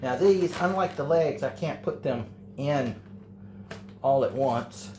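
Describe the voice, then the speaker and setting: The speaker has an American accent and a somewhat breathy voice. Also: man. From Texas. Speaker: home cook, channel owner. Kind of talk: cooking tutorial. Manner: casual, hesitant with fillers.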